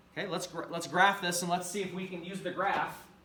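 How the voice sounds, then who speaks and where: Clear background noise and audible room echo surround speech that runs at a fairly brisk speed. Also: man. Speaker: math teacher. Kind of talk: lecture. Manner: fast.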